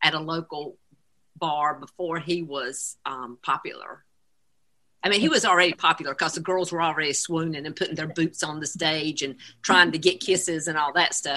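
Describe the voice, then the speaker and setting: A woman with a Southern US accent speaks at a moderate pace in a very deep, low voice with a bright, sharp tone. Her loudness swings widely while her pitch varies in an ordinary way. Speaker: singer's mother. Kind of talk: casual chat.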